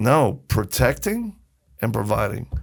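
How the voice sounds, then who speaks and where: A man's voice with vocal fry. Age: 60s. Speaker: ministry founder and humanitarian. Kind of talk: casual chat. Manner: animated.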